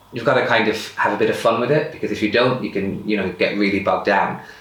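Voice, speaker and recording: A man speaks at a fairly quick pace in a medium pitch with ordinary pitch variation, with audible room echo and noticeable background noise. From rural Ireland. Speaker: person sharing lived experience of bipolar. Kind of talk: personal testimony interview. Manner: fast.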